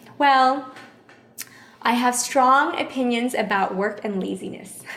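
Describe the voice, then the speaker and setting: A woman speaks in a high voice with an American accent, at a fairly slow pace and ordinary pitch variation. Room echo and noticeable background noise can be heard. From Houston, Texas. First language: Vietnamese. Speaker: chef and catering business owner. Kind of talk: interview conversation.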